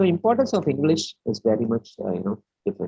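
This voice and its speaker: Music plays in the background. A man with a Keralan accent talks at a fairly quick pace. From India, raised in Delhi. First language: Malayalam. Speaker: webinar speaker, educator. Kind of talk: lecture. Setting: online webinar. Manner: halting, many fillers.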